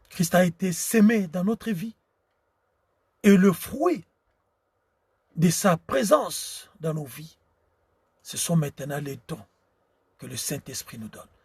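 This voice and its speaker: A man's high-pitched voice with lively intonation and big swings in loudness, very slow with long, frequent pauses, in a dry, close sound without echo. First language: Tshiluba (speaking French). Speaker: preacher. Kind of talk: sermon. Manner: halting.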